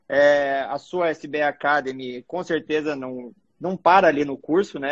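With a plain, everyday voice, a man speaks fairly slowly at a fairly high pitch and with fairly even intonation. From Mato Grosso, Brazil. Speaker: cardiologist. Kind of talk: casual interview. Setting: live video stream.

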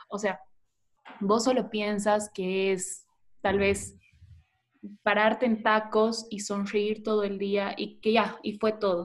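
Speaking very slowly with long, frequent pauses, a woman holds a medium pitch in a monotone, flat intonation. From Bolivia, Tarija. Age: 20s. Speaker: former beauty pageant contestant. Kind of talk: interview.

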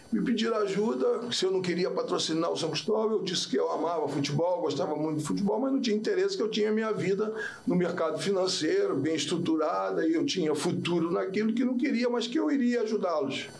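A man with a Rio de Janeiro accent talks at a very fast pace with hardly any pauses, his high pitch and lively intonation set against audible room echo and noticeable background noise. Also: very even loudness. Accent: Carioca Brazilian Portuguese. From Rio de Janeiro, Brazil. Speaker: football players' agent. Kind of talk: casual interview. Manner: forceful, sounds like arguing.

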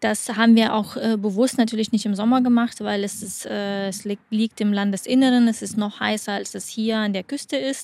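A woman's fairly high voice, fairly even in intonation, at a moderate pace. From Lithuania. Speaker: athlete and sports camp operator. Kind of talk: casual interview. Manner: hesitant with fillers.

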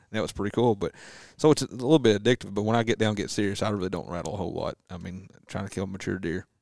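Very fast and fairly low-pitched, a man talks in a Southern accent with ordinary pitch variation. The recording is very clean and dry, close with no echo and a silent background. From US South. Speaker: whitetail deer hunter. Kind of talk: casual chat.

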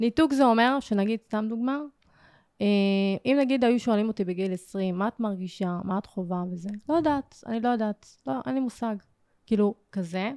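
In a dry, close recording with no echo and a silent, very clean background, a woman with a fairly high pitch and a dark, mellow tone talks at a moderate pace with lively intonation. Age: 20s. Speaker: emotional therapist. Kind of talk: personal testimony.

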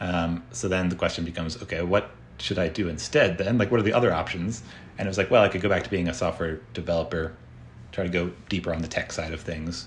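Very deep and low, a man's somewhat breathy voice with an American accent moves at a very fast pace. His pitch varies in an ordinary way. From United States. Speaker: tech entrepreneur and software developer. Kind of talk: interview conversation.

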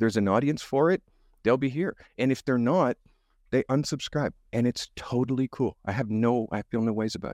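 A man speaks in an ordinary speaking voice with a Canadian accent, at a moderate pace. His pitch is medium with ordinary variation, and the sound is dry and close with no echo. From Canada. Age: 50s. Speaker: photographer. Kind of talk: casual interview chat. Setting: video call.

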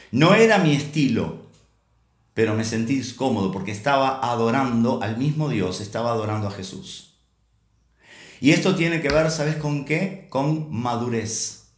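Somewhat breathy, a man speaks at a fairly slow pace. His pitch is medium, with lively intonation. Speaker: preacher. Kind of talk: sermon. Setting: online church service. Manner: halting, with many repeated words.

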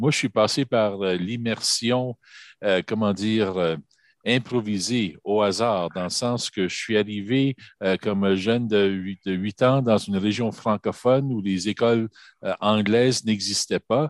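Against a quiet background, a man with a fairly low pitch speaks very slowly with fairly even intonation, the sound dry and close with no echo. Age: 50s. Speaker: government employee. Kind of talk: radio panel discussion.

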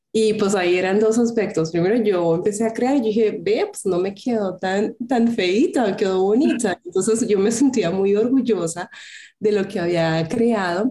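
A woman's medium-pitched voice with a dark, mellow tone, at a moderate pace. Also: ordinary pitch variation. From Colombia. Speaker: craft entrepreneur. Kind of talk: interview.

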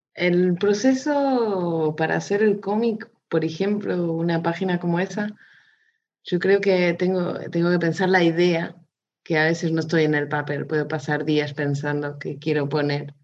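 Speaking at a very slow pace, a woman uses a fairly low pitch with ordinary pitch variation. She talks with a slight Spanish accent. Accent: slightly Spanish-tinged Portuguese. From Portugal, raised in Mozambique. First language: Portuguese (speaking Spanish). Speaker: illustrator. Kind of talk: casual interview. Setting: video call.

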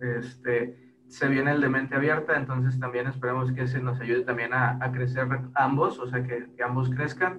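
A man talks at a medium pitch and moderate pace in a monotone, flat intonation, with hardly any pauses. Audible room echo surrounds him, and music plays in the background. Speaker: podcaster. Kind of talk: casual chat.

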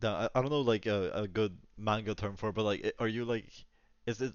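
Quick-paced speech comes from a man with an American accent and a fairly low pitch. His intonation is fairly even. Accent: sounds kind of American. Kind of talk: casual chat.

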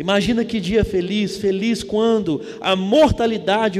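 In a Brazilian accent, a man speaks at a fairly slow pace with an animated tone. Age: 30s. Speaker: preacher. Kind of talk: sermon to a live congregation, evangelical Sunday-night preaching. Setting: church. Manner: animated, fervent; call-and-response, exhorting the audience.

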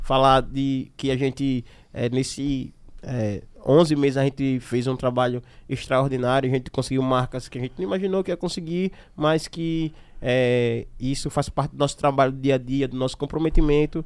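A man with a plain, everyday voice, medium pitch, fairly even intonation and a moderate pace, in a very clean recording with a silent background. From Aracaju, Sergipe, Brazil. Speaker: podcast host. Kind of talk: casual chat.

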